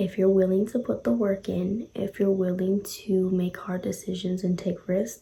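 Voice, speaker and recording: A quiet, somewhat breathy voice with a dark, mellow tone, a moderate pace, fairly even intonation and hardly any pauses. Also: woman, medium pitch for a woman. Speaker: motivational vlogger. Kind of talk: casual motivational talk. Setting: at home at night. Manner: quiet, lowered voice.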